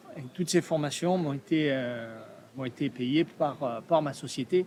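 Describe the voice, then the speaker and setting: A man's fairly high voice shifts in pitch by an ordinary amount. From Provence, southern France. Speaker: artist, steel sculptor. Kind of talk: podcast interview. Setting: art fair. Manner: hesitant, many fillers.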